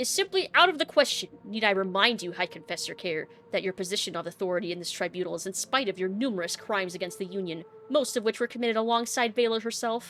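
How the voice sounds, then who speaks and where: In a put-on character voice, a woman booms out stern lines at a very fast pace, her pitch medium with ordinary variation. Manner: booming, authoritative, stern.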